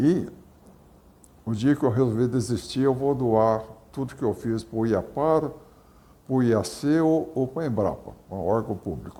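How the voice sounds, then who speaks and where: Fairly slow, medium-pitched male speech with a dark, mellow tone, ordinary pitch variation, and long, frequent pauses. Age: 80s+. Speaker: soybean breeder, agronomist. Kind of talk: interview. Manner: halting.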